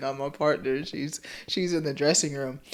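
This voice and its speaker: This is a woman speaking. Her pace is moderate. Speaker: podcast host. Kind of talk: casual chat.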